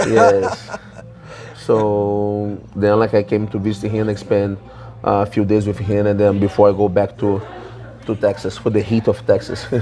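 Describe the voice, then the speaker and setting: Music plays in the background as a man speaks at a moderate pace. His fairly low voice has a monotone, flat intonation. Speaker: jiu-jitsu professor. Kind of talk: interview.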